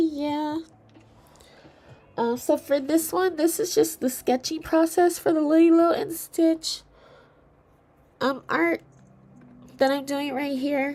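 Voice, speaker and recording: The woman's pitch is high and her intonation fairly even. She talks at a very slow pace with long, frequent pauses. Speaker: artist streamer. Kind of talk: casual livestream chat while drawing. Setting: livestream. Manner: hesitant, with many fillers.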